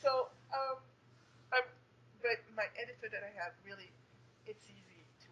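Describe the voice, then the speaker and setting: A woman speaks at a moderate pace with a French Canadian accent. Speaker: young adult author. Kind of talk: interview. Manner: hesitant, many fillers.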